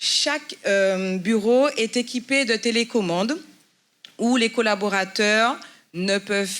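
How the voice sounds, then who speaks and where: A woman's very slow delivery with lively intonation. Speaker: building manager giving a tour. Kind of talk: guided building tour.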